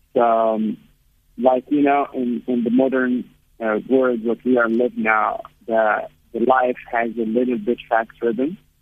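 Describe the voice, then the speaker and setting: Speaking at a fairly slow pace, a man keeps a medium pitch and fairly even intonation. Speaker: founder of an outdoor therapy group. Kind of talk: radio interview. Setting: phone call. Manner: halting. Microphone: bad line, hard to hear.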